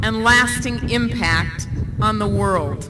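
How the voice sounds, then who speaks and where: Noticeable background noise behind a woman speaking at a fairly slow pace. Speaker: university official introducing a speaker. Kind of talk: commencement speaker introduction. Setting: outdoors, windy, PA system.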